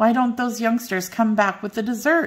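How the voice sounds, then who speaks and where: This is a put-on character voice. It moves at a moderate pace. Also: woman. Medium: read story. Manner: formal, genteel.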